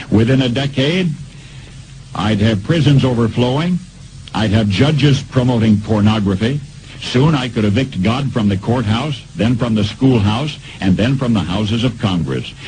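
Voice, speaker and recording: With noticeable background noise, a man of medium pitch speaks at a moderate pace with ordinary pitch variation and very even loudness. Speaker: radio broadcaster. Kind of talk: radio commentary reading.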